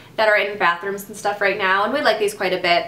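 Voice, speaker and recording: Through audible room echo, a woman speaks at a medium pitch with lively intonation. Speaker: beauty vlogger. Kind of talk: product review vlog. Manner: fast.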